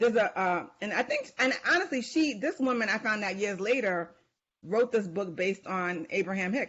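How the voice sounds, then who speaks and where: A woman's fairly high-pitched voice with a New York accent. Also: moderate pace. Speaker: author and life coach. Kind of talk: podcast interview. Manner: halting.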